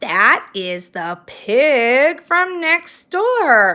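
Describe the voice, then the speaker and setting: Over a silent background on a very clean recording, a woman uses a put-on character voice. Her high pitch makes very wide swings. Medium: read story. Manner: stern, commanding, indignant.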